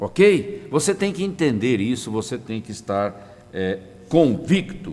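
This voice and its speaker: A man's fairly high voice with very wide pitch swings, delivered at a very slow pace. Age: 60s. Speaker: pastor. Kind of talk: sermon. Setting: online broadcast.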